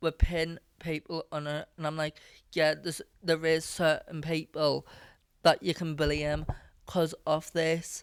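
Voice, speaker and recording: A woman with a Scottish accent talks at a fairly slow pace in a very deep, low pitch. Her intonation is monotone and flat, and the sound is dry and close with no echo. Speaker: podcast host and musician. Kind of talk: casual chat.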